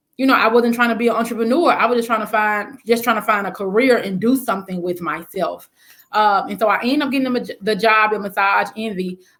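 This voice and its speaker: Speaking at a very fast pace, a woman with a Southern accent has a fairly high pitch and ordinary pitch variation. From US South, Memphis. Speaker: spa business owner. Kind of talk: interview.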